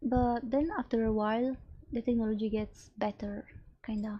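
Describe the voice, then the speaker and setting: Speaking at a moderate pace with a non-native accent, a woman uses a fairly high, somewhat breathy voice with a dark, mellow tone and monotone, flat intonation. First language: not English. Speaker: streamer. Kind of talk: casual live stream talk. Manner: halting.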